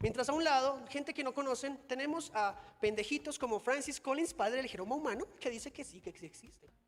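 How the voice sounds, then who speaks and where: A man speaks at an extremely high pitch and a fairly quick pace. His tone is animated and his intonation lively. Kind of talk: conference talk. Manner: fast.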